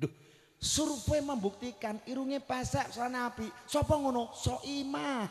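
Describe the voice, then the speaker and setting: Against a quiet background, a man talks at a fairly slow pace with an extremely high pitch. His tone is animated, with ordinary pitch variation. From Central Java, Kudus; Central Java. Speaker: Islamic preacher. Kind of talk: sermon. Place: stage. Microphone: handheld.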